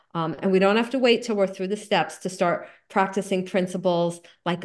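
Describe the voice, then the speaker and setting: Someone with a New Jersey accent speaks with ordinary pitch variation over a quiet background. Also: woman. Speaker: recovery group speaker. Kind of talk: talk.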